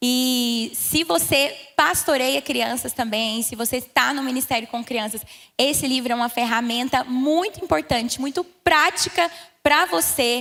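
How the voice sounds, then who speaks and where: With a goiano accent, the speaker talks at a moderate pace. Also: woman. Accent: goiano accent, noticeable. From Brazil, Goiás. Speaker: pastor. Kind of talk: church talk.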